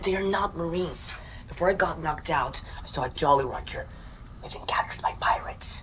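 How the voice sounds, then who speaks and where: Whispering in a put-on character voice, the speaker rattles along at a very fast pace. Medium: short film.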